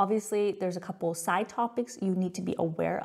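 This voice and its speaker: A woman with an American accent at a medium pitch, somewhat breathy, at a very fast pace. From California, US. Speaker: tax software company founder. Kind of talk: webinar presentation. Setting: live webinar. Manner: casual, conversational.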